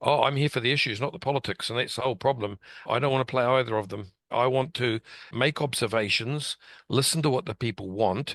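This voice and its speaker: At a fairly quick pace with ordinary pitch variation, someone speaks in a New Zealand accent, with a dry, close sound, no echo and a quiet background. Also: man, medium pitch for a man. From New Zealand, West Auckland. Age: 60s. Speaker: local politician. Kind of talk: interview. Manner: plain-spoken.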